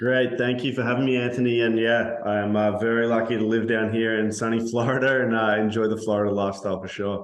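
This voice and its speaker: Over noticeable background noise and audible room echo, a man with an Australian accent talks very fast at medium pitch, with hardly any pauses and monotone, flat intonation. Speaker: construction software executive. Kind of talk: interview.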